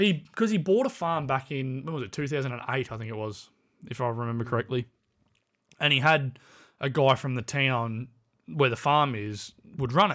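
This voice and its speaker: On a very clean recording with a silent background, a man with an Australian accent talks at a medium pitch and a moderate pace, with lively intonation and long, frequent pauses. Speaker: podcast co-host. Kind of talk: casual chat.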